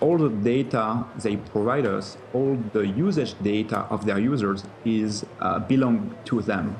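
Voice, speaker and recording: Speaking in a French accent at a fairly slow pace, a man holds a medium pitch with ordinary pitch variation and very even loudness, with audible room echo and noticeable background noise. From France. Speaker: tech company co-founder and CEO. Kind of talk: TV interview. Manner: halting, many fillers.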